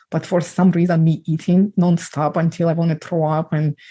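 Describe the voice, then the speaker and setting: Fairly quick and somewhat breathy, a woman with a Ukrainian accent speaks at a fairly low pitch in a dark, mellow tone with monotone, flat intonation. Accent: Eastern European (Ukrainian). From Ukraine. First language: Ukrainian or Russian. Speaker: trafficking survivor and speaker. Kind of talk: podcast interview testimony.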